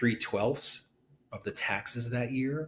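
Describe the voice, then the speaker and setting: The voice belongs to a man. It is medium in pitch. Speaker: real estate agent. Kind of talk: tutorial. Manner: casual, with filler words.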